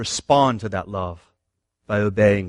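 Against a quiet background, a man with a fairly low pitch speaks with ordinary pitch variation in a dry, close sound with no echo. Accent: American. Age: 40s. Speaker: pastor. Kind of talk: sermon.

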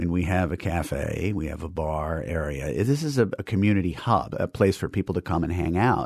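In an American accent, a man with an ordinary speaking voice talks at a moderate pace with lively intonation over a quiet background. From New York City, Manhattan. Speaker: movie theater restorer and film curator. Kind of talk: interview.

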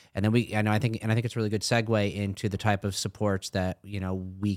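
An ordinary speaking voice at a moderate pace, with fairly even intonation, in a very clean recording with a silent background. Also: man. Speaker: assistant principal.

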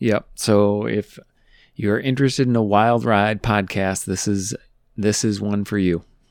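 A man speaks with an unremarkable speaking voice. His pitch is fairly low and his intonation fairly even. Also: very clean recording, silent background. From US Midwest. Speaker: podcast host. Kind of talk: casual interview.

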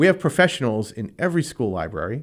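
The recording is very clean, and the background is silent. In it, a man talks at a moderate pace, his pitch swinging very widely. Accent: New England. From Rhode Island. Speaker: school committee member and candidate. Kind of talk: radio interview.

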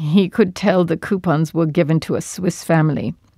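The voice has a dark, mellow tone, in a dry, close sound with no echo. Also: woman. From Turkey (Istanbul), born in Georgia. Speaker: war veteran, former resistance wireless operator. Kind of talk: testimony. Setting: at home.

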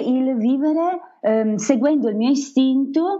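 Lively intonation from a woman speaking at a fairly slow pace. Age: 40s. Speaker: travel blogger and former teacher. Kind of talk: interview.

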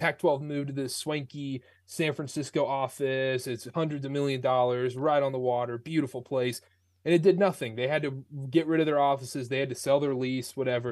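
A man speaks in a plain, everyday voice. His pitch is fairly high, and the background is quiet. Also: fairly quick pace. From North Carolina. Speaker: sports podcaster. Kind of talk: interview.

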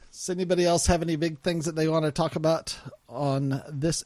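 A man with an American accent at a fairly high pitch, dark, mellow tone, fairly even intonation and moderate pace. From US South. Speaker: podcast host. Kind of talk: casual chat.

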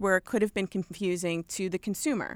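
This woman talks at a fairly quick pace with a strong New York accent and medium pitch. The recording is very clean with a silent background, and the sound is dry and close with no echo. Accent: thick New York. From Long Island, New York. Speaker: apparel company merchandising director. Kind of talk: radio interview.

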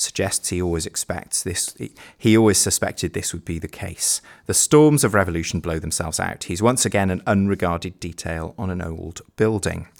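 Using a British accent, a man talks at a fairly quick pace in a fairly low pitch with ordinary pitch variation on a very clean recording with a silent background. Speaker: teacher and education podcast host. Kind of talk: casual chat.

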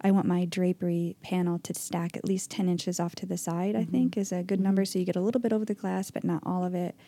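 A soft-spoken woman with a dark, mellow tone and medium pitch races along at a very fast pace. She barely pauses and keeps her intonation fairly even. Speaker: podcast host. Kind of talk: casual chat. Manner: quiet and soft-spoken.

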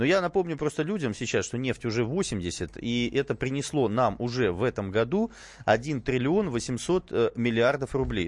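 A man with an ordinary speaking voice talks at a fairly slow pace, his medium-pitched delivery carrying lively intonation over a quiet background. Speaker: radio host. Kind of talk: talk radio discussion. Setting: studio.

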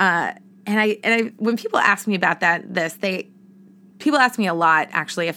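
An animated woman with an American accent, lively intonation and a bright, sharp tone. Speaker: podcast host, entrepreneur and former actress. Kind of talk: casual solo podcast monologue. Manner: animated, talkative.

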